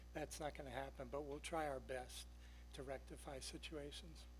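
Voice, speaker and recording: A man speaks with a New York accent. His pace is moderate. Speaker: town traffic engineer. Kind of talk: public presentation.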